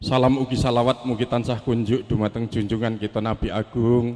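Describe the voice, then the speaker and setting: A man's dark, mellow voice at a fairly quick pace, with fairly even intonation. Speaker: family spokesman at wedding ceremony. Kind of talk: formal ceremonial speech. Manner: formal.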